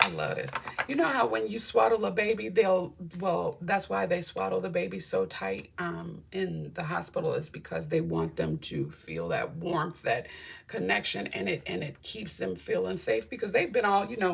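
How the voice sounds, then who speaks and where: An animated woman at a moderate pace, with noticeable background noise. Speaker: tarot reader. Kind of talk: tarot reading.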